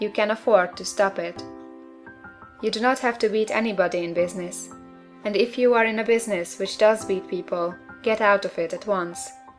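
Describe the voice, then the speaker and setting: Music plays in the background. The speaker moves at a fairly quick pace with ordinary pitch variation. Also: woman, medium pitch for a woman. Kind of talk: audiobook reading.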